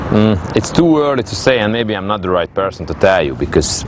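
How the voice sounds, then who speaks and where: A man with a Hungarian accent speaks at a fairly quick pace with lively intonation over noticeable background noise. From Hungary. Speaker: angling team captain. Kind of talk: interview. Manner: halting.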